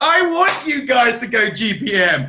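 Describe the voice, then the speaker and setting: Raising and projecting his voice, a man speaks in an extremely high pitch with a bright, sharp tone and lively intonation. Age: 40s. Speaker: network marketing team trainer. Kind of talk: team training talk. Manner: animated.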